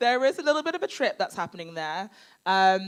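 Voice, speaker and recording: A woman with a British accent speaks at a fairly quick pace. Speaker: crime novelist and former editor. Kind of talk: live Q&A at a literary event. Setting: stage with audience. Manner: loud.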